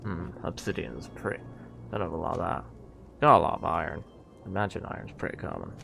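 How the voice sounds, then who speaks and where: A man's very deep, low pitch with very wide pitch swings, a fairly quick pace broken by long, frequent pauses, and music in the background. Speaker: gaming streamer. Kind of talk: live gameplay commentary. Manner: casual.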